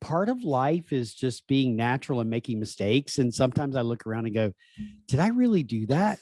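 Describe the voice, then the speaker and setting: Recorded with a dry, close sound and no echo, this man has a dark, mellow tone at medium pitch and speaks at a fairly quick pace with lively intonation. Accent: American. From US South. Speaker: professional coach. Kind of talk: casual chat.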